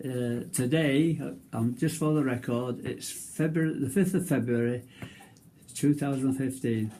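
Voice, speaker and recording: A dark, mellow tone at a fairly slow pace. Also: man, medium pitch for a man, ordinary pitch variation. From northern England. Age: 90s. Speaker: war veteran. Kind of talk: reading aloud; casual chat. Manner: halting.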